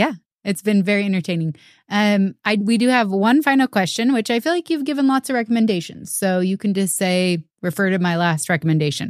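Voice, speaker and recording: In a plain, everyday voice at medium pitch, a woman speaks at a fairly quick pace with lively intonation. Her loudness is very even, and the sound is dry and close with no echo. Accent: American. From US Pacific Northwest, Seattle. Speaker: podcast host. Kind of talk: interview. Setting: video call.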